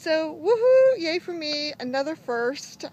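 Pitch swings very widely as a woman speaks, the sound dry with no echo and light background noise. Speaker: daily vlogger. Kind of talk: casual vlog chat. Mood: cheerful, proud. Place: open country. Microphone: phone near.

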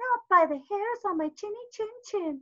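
Using a put-on character voice, a woman speaks at a moderate pace in an extremely high pitch. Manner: defiant, crying out.

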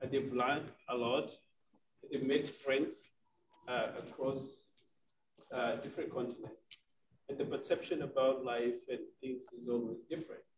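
A man speaks with a Kenyan accent at a moderate pace. He leaves long, frequent pauses. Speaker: nonprofit director working with refugees. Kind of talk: panel discussion. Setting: forum with live audience.

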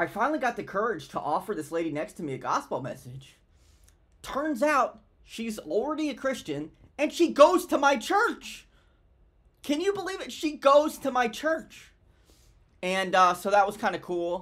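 A man speaks at an extremely high pitch with very wide pitch swings, at a moderate pace. He leaves long, frequent pauses, and the background is quiet. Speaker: vlogger sharing a faith story. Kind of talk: casual vlog chat. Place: home room. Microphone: webcam.

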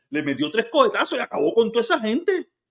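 Very wide pitch swings mark a man's speech over a quiet background. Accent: Cuban. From Cuba. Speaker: commentator. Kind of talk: angry political rant. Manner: ranting, sarcastic; loud, heated, mocking. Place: kitchen. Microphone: phone near.

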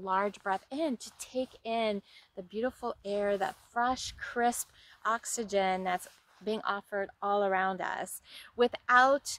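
A woman speaks at a very slow pace with fairly even intonation. The sound is dry, with no echo. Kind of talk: casual vlog chat. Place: waterside. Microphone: phone near.

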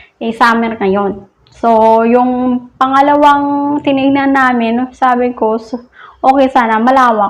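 Here a woman speaks with a high pitch and fairly even intonation. Her pace is fairly slow. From Philippines. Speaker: vlogger. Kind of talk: casual vlog talk. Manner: laughs often.

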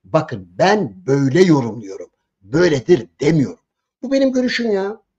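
Against a quiet background, a man speaks in a high voice with very wide pitch swings. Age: 70s. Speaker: political commentator. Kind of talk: political commentary. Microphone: video call.

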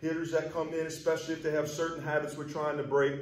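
This man's speech has audible room echo. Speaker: baseball hitting coach. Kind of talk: tutorial. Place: hall.

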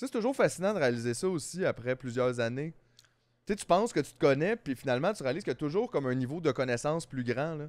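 Against a quiet background, a man in a Quebec accent speaks very fast with lively intonation, the sound dry with no echo. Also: fairly high pitch for a man. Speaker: comedian podcast co-host. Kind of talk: casual chat. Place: studio. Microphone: studio mic.

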